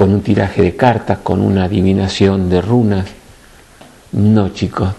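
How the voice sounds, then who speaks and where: A man talks with a fairly low pitch. His pace is fairly slow. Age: 60s. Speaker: spiritual teacher. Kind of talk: spiritual talk to a group. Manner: animated.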